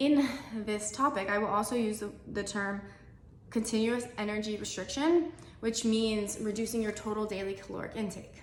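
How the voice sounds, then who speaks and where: A woman talks at a moderate pace with ordinary pitch variation, with audible room echo and noticeable background noise. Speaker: dietitian. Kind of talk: tutorial. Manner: casual, filler-heavy.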